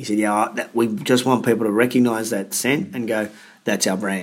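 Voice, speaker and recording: At a moderate pace, a man speaks with an Australian accent at a medium pitch. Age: 40s. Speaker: fitness business coach and speaker. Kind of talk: interview.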